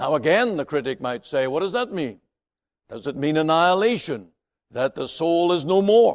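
On a very clean recording with a silent background, a man speaks at a fairly high pitch. He keeps a moderate pace, his pitch swinging very widely. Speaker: preacher. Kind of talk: sermon. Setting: radio broadcast.

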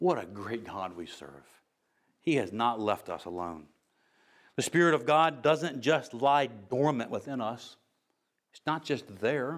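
A man with an American accent speaks at a medium pitch with lively intonation and big swings in loudness. His delivery is fairly slow, with long, frequent pauses. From United States. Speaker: pastor. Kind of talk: sermon.

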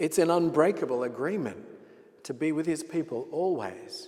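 A man with an Australian accent, a fairly high pitch, a dark, mellow tone, lively intonation and a moderate pace. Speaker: pastor. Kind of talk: sermon. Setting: church.

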